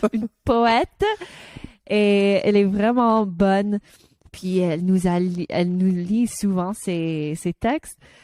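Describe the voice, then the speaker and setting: Very slow in pace, a woman's medium-pitched voice carries a dark, mellow tone and ordinary pitch variation, with a dry, close sound and no echo. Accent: English. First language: English (speaking French). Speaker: podcast co-host. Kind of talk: casual chat. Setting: studio. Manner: halting.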